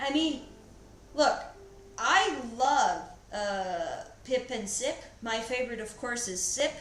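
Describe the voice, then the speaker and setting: A woman with a high voice speaks at a very slow pace with lively intonation, leaving long, frequent pauses. Audible room echo and noticeable background noise are present. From Paraguay. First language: Spanish. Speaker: artist streamer. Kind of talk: casual livestream chat. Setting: livestream. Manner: hesitant, many fillers.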